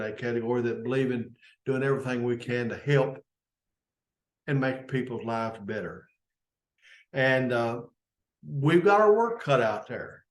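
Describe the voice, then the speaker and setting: A man with a Kentucky accent speaks at a medium pitch and a moderate pace. He leaves long, frequent pauses. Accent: Kentucky Southern US. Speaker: service club leader. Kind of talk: unscripted informational talk. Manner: halting.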